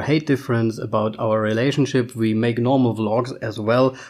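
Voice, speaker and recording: Speaking at a medium speed, this man talks with a German accent. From Germany. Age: 30s. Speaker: podcast co-host. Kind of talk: casual chat.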